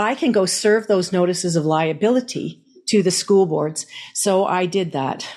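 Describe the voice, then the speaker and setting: This woman has an ordinary speaking voice at a medium pitch. She moves at a moderate pace with ordinary pitch variation. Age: 60s. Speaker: activist chapter leader and music teacher. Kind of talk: personal testimony.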